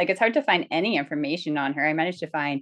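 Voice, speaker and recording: A woman's very deep, low voice over a quiet background. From Canadian Northwest Territories, Dehcho First Nation. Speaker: novelist and historian. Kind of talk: interview. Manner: animated.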